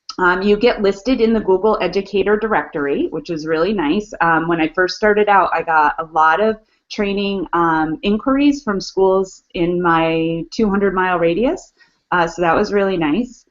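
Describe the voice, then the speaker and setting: In a normal speaking voice, a woman of medium pitch talks at a moderate pace with ordinary pitch variation. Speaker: educational technology trainer, webinar co-host. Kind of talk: online webinar walkthrough.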